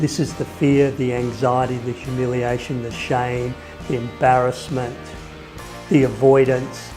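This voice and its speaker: With music in the background, the speaker talks at a fairly slow pace. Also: man. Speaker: person who stutters. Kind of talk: personal story talk.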